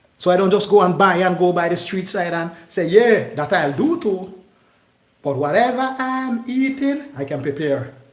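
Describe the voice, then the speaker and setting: A man's high-pitched, animated voice with very wide pitch swings, set in audible room echo. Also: moderate pace. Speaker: cooking channel host. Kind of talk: live cooking demonstration. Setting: kitchen, live stream.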